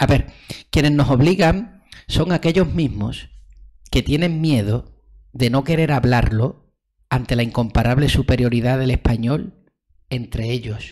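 A somewhat breathy man talks at a fairly slow pace with long, frequent pauses over a quiet background. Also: medium pitch for a man, ordinary pitch variation. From Andalusia, Spain. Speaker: development researcher. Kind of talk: casual interview conversation. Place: home room. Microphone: studio mic.

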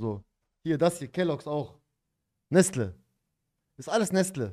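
The voice is animated, with lively intonation, set against a quiet background. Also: man. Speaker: streamer reacting to a video. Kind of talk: angry rant in a livestream reaction, casual street slang. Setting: livestream. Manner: animated, emphatic, indignant, peppered with slang like 'Dicker' and 'Bruder'. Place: home room. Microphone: studio mic.

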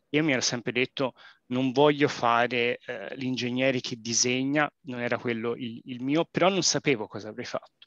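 Speaking at a moderate pace, a man has a medium pitch and a bright, sharp tone, with a Florentine accent. The sound is dry with no echo, and the background is quiet. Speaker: engineer. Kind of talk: webinar presentation. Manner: halting, many fillers. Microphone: video call.

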